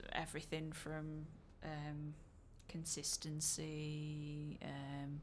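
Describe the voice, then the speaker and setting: With a Yorkshire accent, a woman speaks at a fairly low pitch. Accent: broad Yorkshire. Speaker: musician discussing own album. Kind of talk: casual podcast chat.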